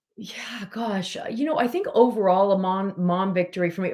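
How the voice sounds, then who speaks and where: There is noticeable background noise in this clip. A woman speaks at medium pitch with ordinary pitch variation. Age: 40s. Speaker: weight loss coach. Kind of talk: casual chat.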